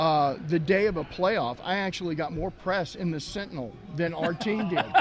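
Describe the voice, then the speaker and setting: In a Texan accent, a man speaks at a moderate pace with a high pitch. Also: ordinary pitch variation. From Texas. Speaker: sports team mascot performer. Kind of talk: casual chat.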